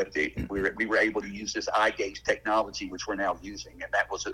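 With an Alabama accent, the speaker races along at a very fast pace over noticeable background noise. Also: man. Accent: Southern US (Alabama). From US South, Alabama. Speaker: father of a patient. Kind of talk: casual interview conversation.

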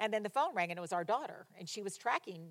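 A woman with a fairly high pitch talks in an animated tone with lively intonation. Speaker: pastor. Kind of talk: sermon. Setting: church. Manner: loud.

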